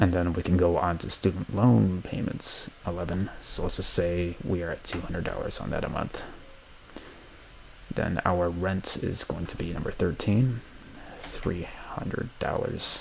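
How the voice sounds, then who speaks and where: Over noticeable background noise, a man with a very deep, low voice speaks fairly slowly with ordinary pitch variation. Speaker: college student. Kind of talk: software tutorial walkthrough. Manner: casual, with some stuttering.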